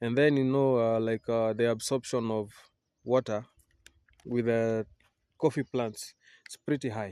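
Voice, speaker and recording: Speaking with a Kenyan accent, a man has a dark, mellow tone and fairly even intonation. He leaves long, frequent pauses against a quiet background. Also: dry, close sound with no echo. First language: Kikuyu. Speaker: vlogger and coffee farmer. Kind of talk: casual vlog tour. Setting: outdoors on a coffee farm. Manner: halting, many fillers.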